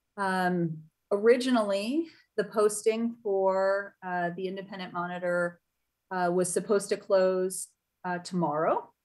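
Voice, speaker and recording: A woman's fairly slow, fairly even-toned speech over a quiet background. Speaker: chair of a citizen oversight board. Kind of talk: virtual public meeting moderation. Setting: video call. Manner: halting, many fillers. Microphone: video call.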